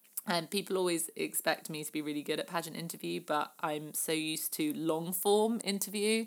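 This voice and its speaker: A woman with a southern English accent talks at a fairly quick pace with ordinary pitch variation, in a very clean recording with a silent background. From southern England. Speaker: podcast host and former pageant contestant. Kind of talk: casual Q&A monologue. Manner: many filler words.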